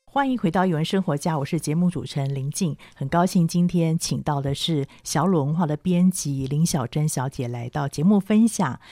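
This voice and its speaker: A woman speaks in a very deep, low pitch with a dark, mellow tone and ordinary pitch variation. She keeps a moderate pace with hardly any pauses, in a dry, close sound with no echo. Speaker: radio host. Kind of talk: radio book-review interview.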